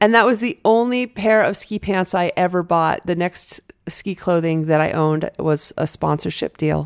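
A woman speaks in an ordinary speaking voice, fairly low-pitched, at a moderate pace with ordinary pitch variation. The recording is very clean, with a silent background. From New Hampshire, US. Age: 50s. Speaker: former pro skier, fear and anxiety expert. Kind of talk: interview conversation.

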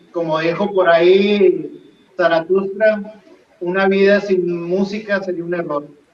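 A man's high-pitched voice at a very slow pace, with fairly even intonation, audible room echo and noticeable background noise. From Monterrey, northern Mexico. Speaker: rock band guitarist. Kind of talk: interview.

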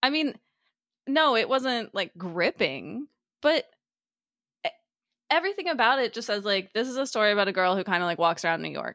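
A woman talks at a fairly quick pace with a fairly high pitch, a bright, sharp tone, vocal fry and very wide pitch swings, broken by long, frequent pauses. The recording is very clean with a silent background and a dry, close sound with no echo. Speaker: book club podcast host. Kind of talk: casual chat. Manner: animated.

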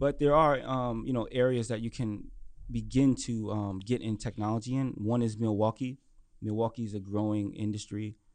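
A man with an American accent and an unremarkable speaking voice, medium pitch, fairly even intonation and a moderate pace. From Brooklyn, New York. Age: young. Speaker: entrepreneur and finance author. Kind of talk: interview. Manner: casual, many fillers.

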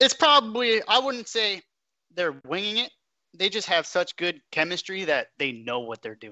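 A man with an American accent speaks at a high pitch. His pitch swings very widely. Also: moderate pace, big swings in loudness. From Long Island, New York, then Florida. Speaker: football league commissioner. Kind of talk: casual panel discussion.

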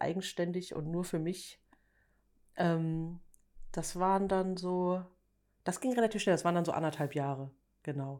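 In a very clean recording with a silent background, a woman with a plain, everyday voice speaks at a moderate pace, her medium pitch showing ordinary pitch variation. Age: 40s. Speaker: editorial photographer. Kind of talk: casual chat.

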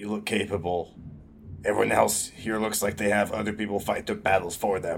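Putting on a raspy character voice, a man talks at a fairly quick pace and fairly low pitch in a monotone, flat intonation over clear background noise. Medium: actual play.

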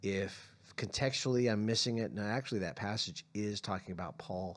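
An ordinary speaking voice from a man with an American accent, fairly low in pitch, with ordinary pitch variation. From California and Arizona. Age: 50s. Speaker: pastor. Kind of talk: casual chat.

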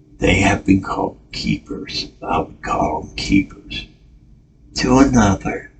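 This man speaks at a very slow pace in a fairly low pitch, with very wide pitch swings. Noticeable background noise runs under his voice. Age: 50s. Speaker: podcast host. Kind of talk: personal monologue. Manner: halting.

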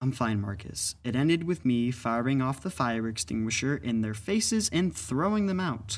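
Lively intonation runs through it. It is an unforced reading voice.

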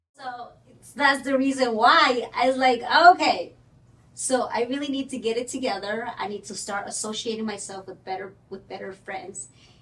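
A high-pitched woman speaks with a Spanish accent at a moderate pace and ordinary pitch variation. Her loudness swings widely. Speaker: mortgage broker. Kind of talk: casual chat.

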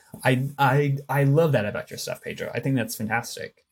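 A somewhat breathy male voice. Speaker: podcast host. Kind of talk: casual interview chat.

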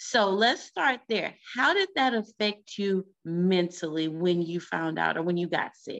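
With an unremarkable speaking voice, a woman talks at a fairly slow pace. Her medium pitch shows ordinary variation. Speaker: podcast host. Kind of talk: interview, casual chat.

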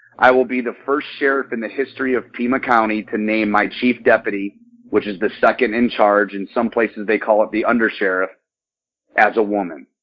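A man with an ordinary speaking voice and an American accent talks fairly quickly at medium pitch, with fairly even intonation. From Michigan, US Midwest. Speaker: sheriff candidate, former police officer and Marine. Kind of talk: interview.

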